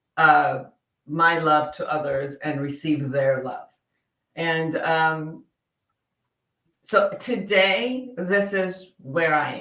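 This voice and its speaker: A woman with a fairly low pitch speaks at a very slow pace. Her pitch varies in an ordinary way. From Iran (Tehran). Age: 60s. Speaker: psychotherapist and coach. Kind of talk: podcast interview. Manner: halting.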